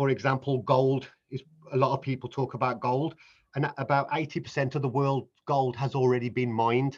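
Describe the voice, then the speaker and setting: A man speaks at a moderate pace in a monotone, flat intonation, his voice somewhat breathy. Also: medium pitch for a man. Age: 50s. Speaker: business founder. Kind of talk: interview. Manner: halting.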